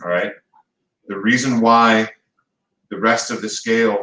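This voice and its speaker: A man speaks at a medium pitch in a bright, sharp tone with monotone, flat intonation. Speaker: high school construction technology teacher. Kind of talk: classroom lecture. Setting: classroom. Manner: fast; casual, conversational.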